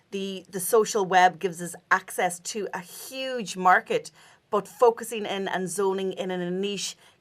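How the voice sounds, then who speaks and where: Speaking with a Donegal accent, a woman keeps a monotone, flat intonation at medium pitch and a moderate pace. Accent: Donegal Irish. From Ireland, Donegal. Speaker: podcast host. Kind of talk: interview.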